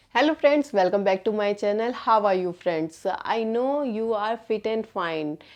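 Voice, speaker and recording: In an Indian accent, a woman speaks at a fairly slow pace with hardly any pauses, her fairly high voice full of lively intonation. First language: Hindi. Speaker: English learner vlogger. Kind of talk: casual vlog talk. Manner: halting, many fillers.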